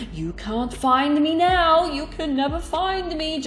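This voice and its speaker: Shouting in a high-pitched, put-on character voice at a fairly slow pace, the speaker is heard over clear background noise. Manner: screaming, unhinged.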